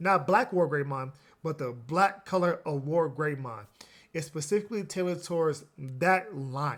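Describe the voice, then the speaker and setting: An American accent marks this man's ordinary speaking voice, which sits fairly high with ordinary pitch variation at a moderate pace. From US Midwest, Chicago. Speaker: trading card game YouTuber. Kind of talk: market commentary video. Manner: casual, some filler and restarts.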